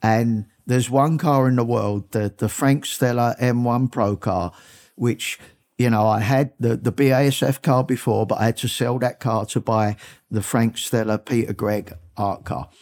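A man with an American accent speaks at a moderate pace and medium pitch, with fairly even intonation and very even loudness. The sound is dry and close with no echo, in a very clean recording with a silent background. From South London, England (Brixton). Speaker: car collector. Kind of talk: interview.

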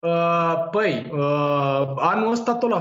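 A man's voice with audible room echo. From Romania, Târgoviște. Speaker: cannabis grower and seed shop owner. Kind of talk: casual chat.

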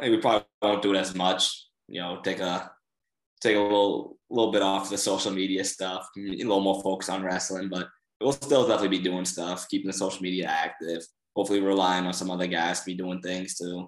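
A man with a very deep, low voice and a Boston accent talks at a fairly quick pace with fairly even intonation. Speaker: college wrestler. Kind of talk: casual chat.

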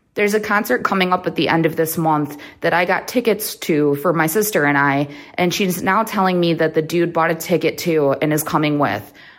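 A woman's fairly low voice at a fairly quick pace, with ordinary pitch variation and an ordinary speaking voice. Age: 30s. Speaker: caller. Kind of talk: recorded voicemail question.

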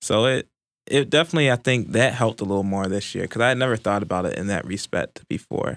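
Speaking very fast with lively intonation and an American accent, a man is heard on a very clean recording with a silent background and a dry, close sound with no echo. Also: medium pitch for a man. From Baltimore, Maryland. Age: 20s. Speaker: journalism student. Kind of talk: casual chat. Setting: studio.

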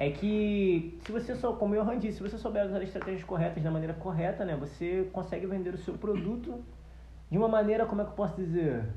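A man with a high pitch and ordinary pitch variation talks at a fairly quick pace amid audible room echo and noticeable background noise. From Brazil, Nilópolis (Rio de Janeiro area). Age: 20s. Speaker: agronomist and musician. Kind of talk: casual chat.

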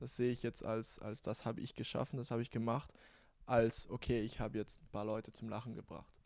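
Speaking at a fairly quick pace in a flat monotone, a man with a medium-pitched voice is heard on a very clean recording with a silent background. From South Tyrol, Bozen. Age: young. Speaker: content creator. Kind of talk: casual chat. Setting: studio.

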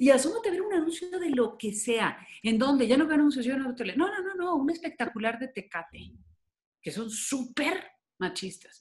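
At a moderate pace, a woman with a high pitch sounds animated, her voice making very wide pitch swings. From Mexico. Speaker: consultant and public speaker on gender. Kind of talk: radio interview.

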